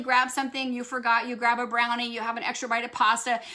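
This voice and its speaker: Noticeable background noise runs under this recording. A woman with a high pitch talks at a very fast pace. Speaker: doctor answering product questions. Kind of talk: live Q&A. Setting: livestream.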